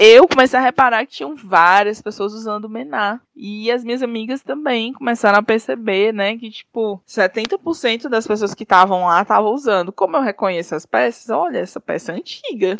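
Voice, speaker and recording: A woman with a plain, everyday voice, fairly high pitch and lively intonation, at a moderate pace with big swings in loudness, in a dry, close sound with no echo. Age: 30s. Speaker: fashion designer and entrepreneur. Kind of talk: interview.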